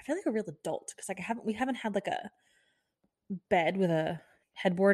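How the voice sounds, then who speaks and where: A woman with a Midwestern American accent, animated in tone and fairly quick in pace. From US Midwest, Kansas City. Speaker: podcast host. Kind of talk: casual solo monologue. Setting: home recording in new house. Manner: animated, chatty.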